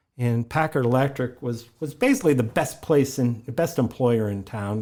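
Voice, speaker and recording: A man with an American accent speaks at a moderate pace, his pitch medium and his tone dark and mellow. His intonation stays fairly even. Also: very clean recording, silent background. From Ohio, US (Warren). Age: 60s. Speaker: local museum historian. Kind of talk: podcast interview. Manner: halting, many repetitions and fillers.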